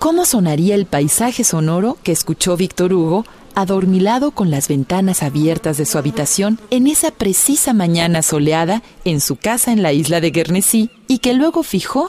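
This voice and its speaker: At a moderate pace, a woman with an ordinary speaking voice talks at a medium pitch with lively intonation. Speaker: radio documentary narrator. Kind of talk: scripted narration. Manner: formal, measured.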